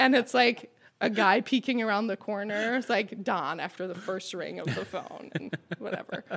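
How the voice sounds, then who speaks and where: Speaking with ordinary pitch variation, a woman keeps a medium pitch and a moderate pace. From Quebec. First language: French. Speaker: restaurant co-owner. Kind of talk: casual interview chat.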